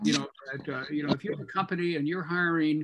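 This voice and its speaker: A man talks at a very fast pace. His pitch is fairly high, with ordinary variation. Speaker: test company employee, attendee; webinar host or discussant. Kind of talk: casual chat. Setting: video call. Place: home room. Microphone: video call.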